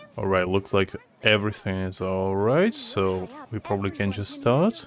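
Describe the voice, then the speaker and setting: A man's fairly low voice at a fairly slow pace, with noticeable background noise. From Ukraine. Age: 20s. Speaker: gaming streamer. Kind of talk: casual chat. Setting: live stream.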